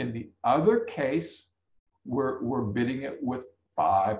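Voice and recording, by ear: Vocal fry runs through a man's fairly slow speech.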